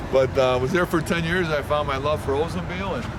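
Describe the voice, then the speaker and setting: A man's fairly high voice with lively intonation, at a fairly quick pace, with audible room echo and noticeable background noise. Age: 60s. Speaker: car owner and used car dealer. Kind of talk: casual interview. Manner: halting, many fillers.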